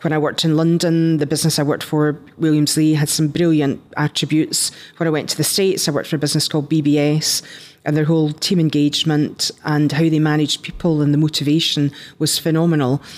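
A woman's very deep, low voice at a very fast pace, with monotone, flat intonation and very even loudness. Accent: Scottish. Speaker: entrepreneur, company founder. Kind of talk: interview.

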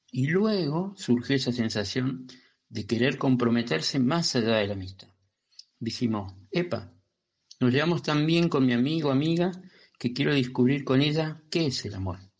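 In a plain, everyday voice, a man of medium pitch talks at a moderate pace with lively intonation. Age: 50s. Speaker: listener. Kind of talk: recorded voice message.

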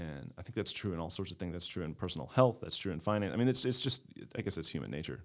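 A man's very deep, low voice with vocal fry, an American accent and a very fast pace. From Maryland, Baltimore County. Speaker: community developer. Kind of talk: casual chat.

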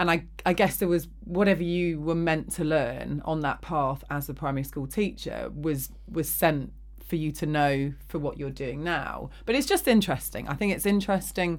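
With an English accent, a woman talks at a moderate pace. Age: 40s. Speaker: podcast host. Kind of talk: casual chat. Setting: studio.

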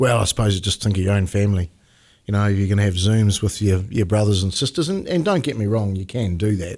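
At a very fast pace with ordinary pitch variation, the voice comes through in a very clean recording with a silent background. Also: man, fairly low pitch for a man. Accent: New Zealand. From New Zealand. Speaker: mayor. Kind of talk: interview. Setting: studio.

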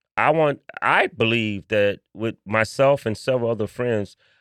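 A man with an American accent talks at a moderate pace in a normal speaking voice, medium in pitch with ordinary pitch variation, the sound dry and close with no echo. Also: very clean recording, silent background. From Chicago, West Side (Austin area). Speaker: history museum founder. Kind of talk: casual interview.

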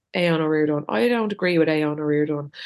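In an Irish accent, a woman with a very deep, low pitch talks at a fairly quick pace against a quiet background. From Ireland. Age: 40s. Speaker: podcast co-host. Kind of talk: casual chat.

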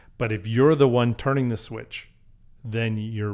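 A man with a Canadian accent uses a normal speaking voice, fairly low in pitch with fairly even intonation. The recording is very clean, with a silent background. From Canada, Calgary. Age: 50s. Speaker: restaurant group partner. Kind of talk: casual chat.

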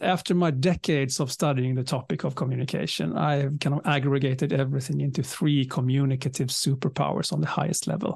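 At a very fast pace with hardly any pauses, a man talks in a somewhat breathy, fairly high voice, with very even loudness and ordinary pitch variation. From southern Sweden. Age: 50s. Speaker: leadership communication speaker and author. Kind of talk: interview.

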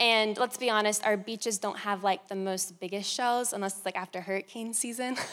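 With a normal speaking voice, a woman talks at a fairly quick pace with hardly any pauses. Her pitch is fairly high and her intonation fairly even. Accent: American. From Florida. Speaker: youth pastor. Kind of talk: sermon. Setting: staff meeting.

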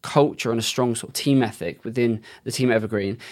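This man speaks with a British accent. His pace is fairly quick. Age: 30s. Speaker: SEO agency owner. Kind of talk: interview.

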